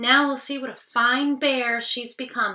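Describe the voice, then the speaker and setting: Growling and raised, a woman projects a put-on character voice at a high pitch. She keeps a moderate pace. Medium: read story.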